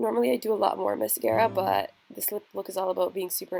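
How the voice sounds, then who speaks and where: This woman talks at a moderate speed while music plays in the background. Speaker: beauty vlogger. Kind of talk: tutorial.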